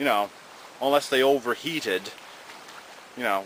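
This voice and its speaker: Noticeable background noise beneath a man's lively intonation. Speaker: retro video game news host. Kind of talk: casual talk to camera.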